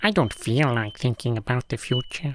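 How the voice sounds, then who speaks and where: This is a put-on character voice with a low-to-middle pitch. It moves at a moderate pace. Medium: audio drama. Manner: literal, deadpan, short replies.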